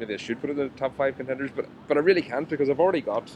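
A fairly high-pitched man at a very fast pace, with noticeable background noise. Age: 30s. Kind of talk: casual chat. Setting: outdoors.

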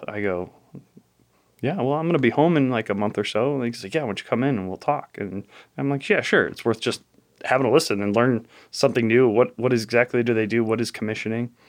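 The pace is very fast, with ordinary pitch variation. The background is quiet. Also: man, medium pitch for a man. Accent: American. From Chicago area, Illinois (south side). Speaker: data center commissioning lead, Navy veteran. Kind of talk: interview conversation. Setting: in person.

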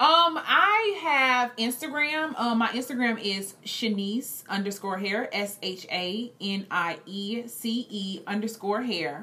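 Speaking at a very slow pace with hardly any pauses, the voice has lively intonation over noticeable background noise. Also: woman, fairly high pitch for a woman. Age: 20s. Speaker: entrepreneur and cosmetologist. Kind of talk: interview.

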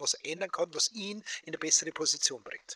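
With a Bavarian accent, a man speaks at a moderate pace in a dry, close sound with no echo. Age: 60s. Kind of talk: casual interview chat. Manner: animated. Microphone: AI-enhanced audio from poor recording.

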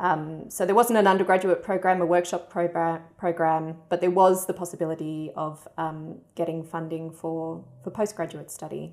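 A woman with an Australian accent speaks in a fairly low, flat monotone at a moderate pace, with hardly any pauses. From Perth, Western Australia. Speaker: writer. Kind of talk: interview.

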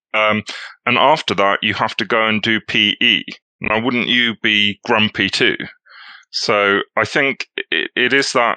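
Speaking very slowly in a British accent, a man with a fairly low pitch and a bright, sharp tone keeps his loudness very even, with ordinary pitch variation and a dry, close sound with no echo against a quiet background. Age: 40s. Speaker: economics writer and film festival programmer. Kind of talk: casual chat.

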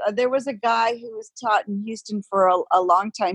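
A woman with an ordinary speaking voice talks at a medium pitch and moderate pace, the sound dry and close with no echo. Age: 50s. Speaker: yoga teacher. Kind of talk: casual chat.

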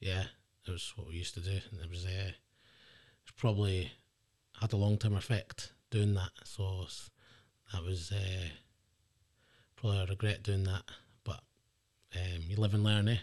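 In an Edinburgh accent, a man with a very deep, low pitch speaks at a moderate pace in a flat monotone, somewhat breathy. His loudness swings widely, with long, frequent pauses in a very clean recording against a silent background. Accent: Edinburgh Scottish. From Scotland, Edinburgh. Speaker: guest sharing life story. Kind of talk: casual interview.

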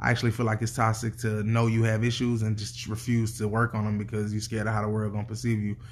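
This man talks at a very fast pace. There is a somewhat breathy quality to his voice. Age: 30s. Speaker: podcast co-host. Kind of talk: casual chat.

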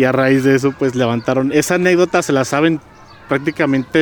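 Noticeable background noise runs behind the speaker. A man talks very fast at a fairly high pitch. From Guadalajara, Jalisco, Mexico. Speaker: community activist. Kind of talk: interview. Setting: outdoors in a park. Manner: halting, with many repetitions.

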